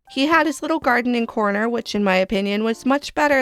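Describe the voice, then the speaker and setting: Music plays in the background of a dry, close sound with no echo. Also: woman. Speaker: gaming YouTuber. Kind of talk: casual talk to camera.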